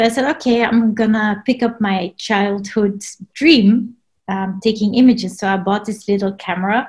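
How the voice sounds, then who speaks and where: A woman talks at a moderate pace with fairly even intonation. Her voice is fairly high and somewhat breathy. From Belgium. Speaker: underwater photographer. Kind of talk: casual interview. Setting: video call.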